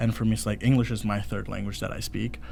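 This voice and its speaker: Audible room echo surrounds a man as he speaks. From India, moved to US 2011. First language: Hindi. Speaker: student podcast host. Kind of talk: casual chat. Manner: halting, many false starts.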